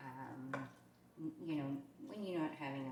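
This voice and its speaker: A woman with a New York accent speaks at a moderate pace in a very deep, low voice. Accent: New York accent, persistent. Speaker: cooking vlogger. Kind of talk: casual cooking tutorial. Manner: chatty, filler-heavy.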